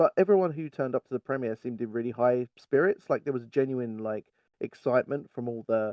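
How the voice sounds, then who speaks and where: A man in a British accent talks fairly quickly at a medium pitch, with a dry, close sound and no echo. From England. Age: 30s. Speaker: fan site writer. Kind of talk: casual chat.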